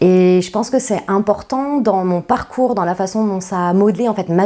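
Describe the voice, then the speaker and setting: This is a woman at medium pitch. She speaks at a fairly slow pace with ordinary pitch variation. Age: 40s. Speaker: company founder. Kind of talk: interview. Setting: podcast interview. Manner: hesitant with many fillers.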